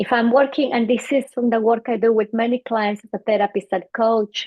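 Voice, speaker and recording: A woman talks at a fairly quick pace with a fairly high pitch. Her intonation is fairly even and her loudness stays very even. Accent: Bolivian. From Bolivia. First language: Spanish. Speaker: psychologist. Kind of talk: interview.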